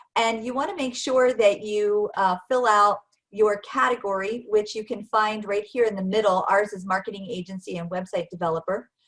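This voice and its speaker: A woman talks at a moderate pace with hardly any pauses, in a normal speaking voice. Her pitch is medium, with ordinary variation. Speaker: marketing director presenting a webinar. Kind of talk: presentation.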